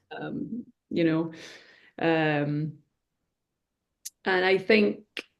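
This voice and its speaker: A woman speaks with a Scottish accent. Her voice has a fairly low pitch. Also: lively intonation. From Scotland. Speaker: reflexologist. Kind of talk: interview answer.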